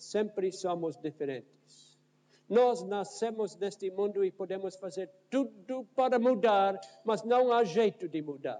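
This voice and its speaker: Speaking with a North American accent, a man has a high pitch and a dark, mellow tone. His pace is very slow, with ordinary pitch variation. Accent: foreign, North American accent in Portuguese. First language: English (speaking Portuguese). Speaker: pastor. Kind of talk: sermon. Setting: church.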